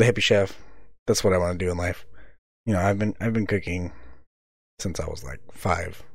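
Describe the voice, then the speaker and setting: A man with an American accent has a very deep, low pitch and a somewhat breathy voice. He talks at a fairly quick pace with ordinary pitch variation and long, frequent pauses. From US West, California Central Valley. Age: 19. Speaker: podcast host. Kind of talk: casual monologue.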